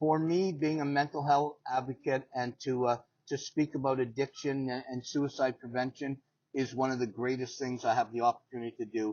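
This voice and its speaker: At a moderate pace, a man speaks in an ordinary speaking voice of medium pitch with fairly even intonation. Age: 60s. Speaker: paralympic athlete and motivational speaker. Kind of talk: interview. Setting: in person.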